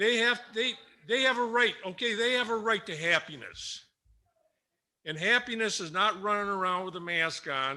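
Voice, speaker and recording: A raised, projected voice with a bright, sharp tone moves at a moderate pace with ordinary pitch variation and long, frequent pauses over a quiet background. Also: man. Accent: American. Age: 60s. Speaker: school board member. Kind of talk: public meeting remarks. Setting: public meeting with audience. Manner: stammering.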